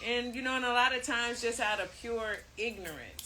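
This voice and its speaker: Amid noticeable background noise and audible room echo, a woman with an American accent speaks at a moderate pace in a fairly high pitch. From US city. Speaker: co-host. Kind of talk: casual chat. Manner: halting.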